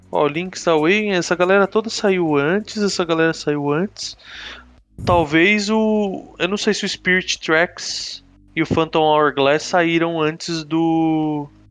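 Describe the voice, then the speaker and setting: Over music in the background, a man with a high pitch speaks at a fairly slow pace with fairly even intonation. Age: 30s. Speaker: video game podcast guest. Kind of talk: casual chat.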